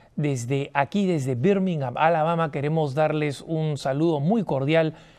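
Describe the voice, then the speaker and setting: A man's fairly high, dark and mellow voice at a fairly slow pace, with ordinary pitch variation and a quiet background. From Latin America. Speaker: TV host. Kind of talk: TV talk show monologue. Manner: animated.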